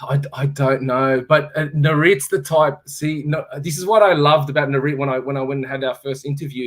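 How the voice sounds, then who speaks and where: A man with an Australian accent talks at a fairly quick pace. His pitch is fairly high and his intonation fairly even. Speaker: former fighter and fight promoter. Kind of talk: casual interview on live stream. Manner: halting.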